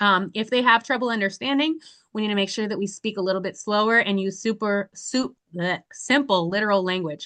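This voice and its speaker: Loud and at a fairly quick pace, a woman speaks with a bright, sharp tone, medium pitch and ordinary pitch variation against a quiet background. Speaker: volunteer trainer. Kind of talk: training presentation. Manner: fast.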